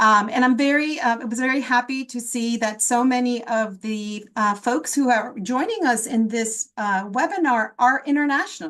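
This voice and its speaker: A woman with an American accent speaks at a moderate pace. Her pitch is high, with ordinary pitch variation. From South Florida, raised from childhood after leaving Guatemala. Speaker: public health professor. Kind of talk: webinar panel talk.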